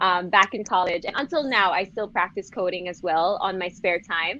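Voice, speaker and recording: A woman with an unremarkable speaking voice and an American accent, at a fairly quick pace. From Philippines. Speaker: beauty pageant winner. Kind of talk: interview.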